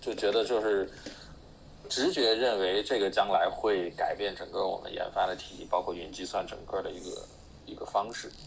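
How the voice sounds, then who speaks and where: Loudness jumps around a lot as a man talks rather quickly. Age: 40s. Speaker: software engineer. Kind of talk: casual panel chat.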